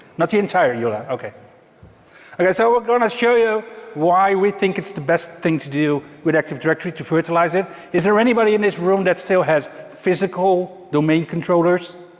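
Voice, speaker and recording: Through noticeable background noise, a man with a high pitch speaks at a fairly quick pace with ordinary pitch variation. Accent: Dutch. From Netherlands. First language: Dutch. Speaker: IT consultant. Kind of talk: conference talk. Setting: stage with audience.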